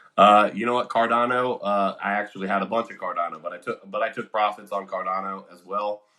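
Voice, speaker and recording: Big swings in loudness mark a man with an American accent talking at a very fast pace with hardly any pauses. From Ohio, US. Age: 30s. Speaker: crypto livestream host. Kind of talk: casual livestream chat. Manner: animated.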